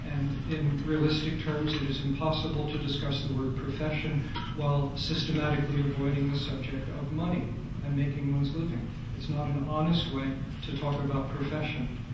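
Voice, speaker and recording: There is strong room echo along with noticeable background noise. A man talks over it at a fairly quick pace. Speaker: astrologer. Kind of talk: conference talk. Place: hall.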